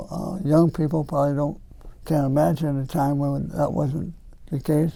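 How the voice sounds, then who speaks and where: Dark and mellow in tone, a man's fairly high voice carries an American accent, moving at a moderate pace with fairly even intonation. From northern Ohio (near Cleveland). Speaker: retired girls basketball coach. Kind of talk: community talk, reminiscing.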